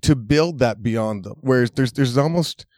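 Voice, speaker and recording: Recorded very cleanly against a silent background, a man with an unremarkable speaking voice talks at a moderate pace and medium pitch, the sound dry and close with no echo. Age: 40s. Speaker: massage therapist. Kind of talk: casual chat. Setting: studio.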